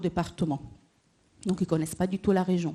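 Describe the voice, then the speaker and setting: The speaker is a woman with an Italian accent. Her tone is dark and mellow. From Italy. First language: Italian (speaking French). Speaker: employment advisor at a cross-border workers association. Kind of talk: panel discussion.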